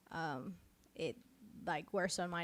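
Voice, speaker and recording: A woman speaks with a slight Mexican accent. The recording is very clean, with a silent background. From Mexico. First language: Spanish. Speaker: pastor. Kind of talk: casual chat. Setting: live stream.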